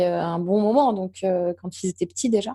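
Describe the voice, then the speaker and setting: Fairly slow speech from a woman with a dark, mellow tone and ordinary pitch variation, against a quiet background. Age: 40s. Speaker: entrepreneur. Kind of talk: casual chat. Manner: halting.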